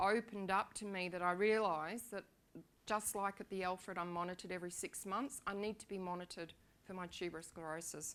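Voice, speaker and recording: Talking at a fairly quick pace, a woman with an Australian accent keeps her intonation fairly even. Her medium-pitched voice has a bright, sharp tone. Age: 60s. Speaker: patient sharing her illness story. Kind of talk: personal testimony talk. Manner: halting, many fillers.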